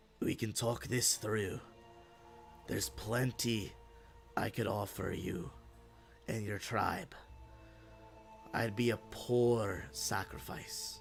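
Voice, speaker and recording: Over clear background music, a man in a put-on character voice, raspy and gravelly at medium pitch, speaks at a very slow pace with lively intonation and long, frequent pauses. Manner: pleading, bargaining.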